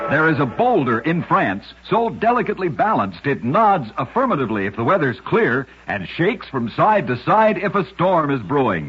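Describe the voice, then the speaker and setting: A man's fairly high pitch with very wide pitch swings at a moderate pace, amid noticeable background noise. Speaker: radio narrator. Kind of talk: old-time radio one-minute story narration.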